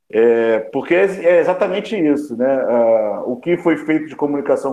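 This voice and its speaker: This is a normal speaking voice delivered at a fairly slow pace. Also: man. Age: 50s. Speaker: journalist and news agency founder. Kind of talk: panel discussion.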